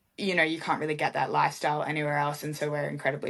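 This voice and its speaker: Speaking at a very fast pace, a woman uses a very deep, low pitch with vocal fry. Her intonation is monotone and flat. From Australia. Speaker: MMA fighter. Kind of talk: casual interview chat.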